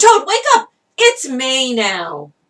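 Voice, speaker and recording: Using a put-on character voice, a woman sounds enthusiastic. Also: high pitch for a woman. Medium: read story.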